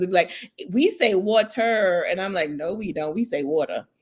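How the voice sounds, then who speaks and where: With a Brooklyn accent, a woman speaks at a medium pitch with lively intonation. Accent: Brooklyn New York. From New York, Brooklyn. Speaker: podcast host. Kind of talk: interview conversation.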